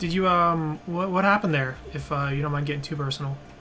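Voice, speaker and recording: Music plays behind a man talking at a fairly quick pace. His fairly high voice has a relaxed tone and ordinary pitch variation. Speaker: game streamer. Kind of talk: casual live-stream commentary while playing. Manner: relaxed, hesitant.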